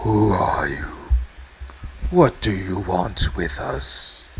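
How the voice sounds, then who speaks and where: Over clear background noise, a man growls in a put-on character voice at a fairly low pitch and a very slow pace. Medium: actual play. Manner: arrogant, contemptuous.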